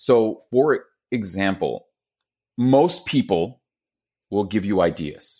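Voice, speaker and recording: With a Quebec accent, a man talks at a medium pitch using lively intonation. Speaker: public speaking consultant. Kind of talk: interview. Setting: video call. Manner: animated.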